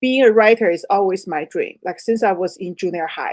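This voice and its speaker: A woman with a Chinese accent talks at a moderate pace. Her pitch varies in an ordinary way. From China. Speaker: author. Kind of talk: interview.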